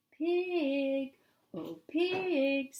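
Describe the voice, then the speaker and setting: A female-sounding voice puts on a character voice pitched high. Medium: read story. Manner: gentle, coaxing.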